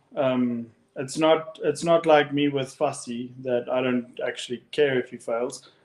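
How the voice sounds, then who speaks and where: In a South African accent, a man speaks in a fairly high voice. His pace is fairly slow and his intonation fairly even. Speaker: rugby podcast co-host. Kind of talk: casual chat.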